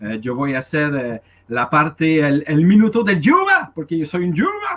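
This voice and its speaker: This man has a non-native accent and a fairly high pitch. He talks at a fairly slow pace with lively intonation. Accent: foreign accent in Spanish. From Canada. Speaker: activist. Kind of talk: question to a speaker at a public meeting. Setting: in-person meeting. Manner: halting, many hesitations.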